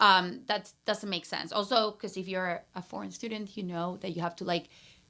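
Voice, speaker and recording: A woman with a Peruvian accent has a bright, sharp tone and fairly even intonation. The recording is very clean, with a silent background. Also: medium pitch for a woman, moderate pace. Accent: Peruvian Spanish accent, noticeable. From Peru, Lima. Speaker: brand strategist and entrepreneur. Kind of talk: casual interview chat. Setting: podcast recorded in a closet.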